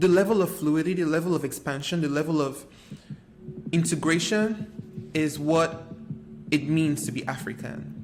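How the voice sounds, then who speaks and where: With music in the background, a man with a Nigerian accent talks at a moderate pace, leaving long, frequent pauses. His pitch is fairly high with ordinary variation. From Nigeria, Lagos. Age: 20s. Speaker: artist and video creator. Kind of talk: personal reflective monologue.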